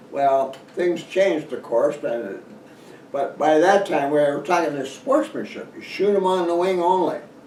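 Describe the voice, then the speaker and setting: With noticeable background noise and an audible room echo, a man talks at a fairly slow pace in a high pitch. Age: 80s+. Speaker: hunting author. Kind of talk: casual talk to camera. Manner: halting.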